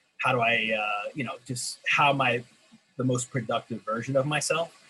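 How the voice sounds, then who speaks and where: The man's voice has a medium pitch. He keeps to a moderate pace. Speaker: teacher and author. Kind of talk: panel discussion. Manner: halting, many fillers.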